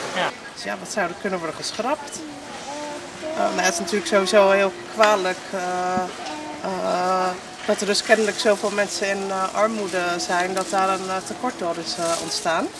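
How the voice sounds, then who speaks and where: A woman speaks with long, frequent pauses in a dry sound with no echo, with noticeable background noise. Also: medium pitch for a woman, ordinary pitch variation, moderate pace. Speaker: local resident. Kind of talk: vox pop street interview. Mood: thoughtful, calm. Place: street.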